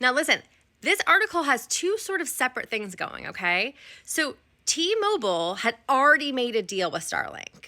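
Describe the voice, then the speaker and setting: Her voice raised and projected, a woman speaks at a high pitch and moderate pace, bright and sharp in tone, with very wide pitch swings. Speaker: social media commentator. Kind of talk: casual vlog commentary. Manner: rambling.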